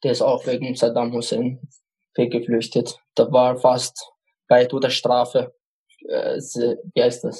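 In an Arabic accent, a man speaks very slowly at a medium pitch, in a flat monotone with long, frequent pauses. His voice is somewhat breathy with a dark, mellow tone. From Iraq, Baghdad (Kurdish). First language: Arabic (speaking German). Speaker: refugee. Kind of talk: personal testimony interview. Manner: halting, repeats words.

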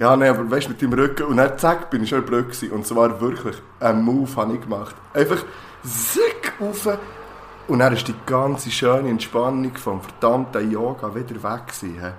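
A man with a Swiss accent speaks at a moderate pace with a medium pitch. His pitch varies in an ordinary way, and there is noticeable background noise. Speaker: podcast co-host, teacher. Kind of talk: casual chat.

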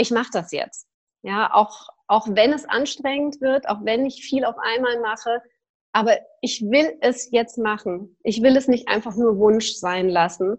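Here is a woman with an ordinary speaking voice and a fairly high pitch. Her pace is fairly slow, and her pitch varies in an ordinary way. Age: 40s. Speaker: yoga teacher and personal development coach. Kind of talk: casual interview.

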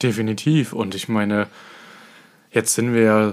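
In a monotone, flat delivery, a man talks at a fairly low pitch. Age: 20s. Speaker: dance competition judge and podcast co-host. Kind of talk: casual chat.

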